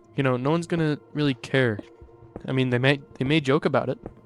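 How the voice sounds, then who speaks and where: With music in the background, a man speaks at a very fast pace. His medium pitch shows ordinary variation. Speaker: gaming YouTuber. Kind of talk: unscripted monologue. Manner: halting; off the cuff.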